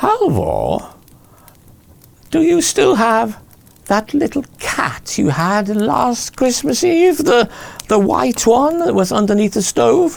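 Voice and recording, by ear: A shrill, put-on character voice at a fairly slow pace, broken by long, frequent pauses. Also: man, extremely high pitch for a man.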